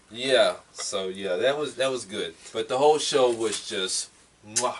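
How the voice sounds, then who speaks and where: Noticeable background noise accompanies a man speaking fairly slowly at a medium pitch with ordinary pitch variation. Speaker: wrestling podcast host. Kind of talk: casual chat.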